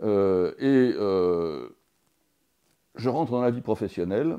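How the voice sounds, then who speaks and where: Against a quiet background, a man speaks with lively intonation. His tone is dark and mellow. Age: 60s. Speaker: teacher and former business consultant. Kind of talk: interview. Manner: hesitant, many fillers and repetitions.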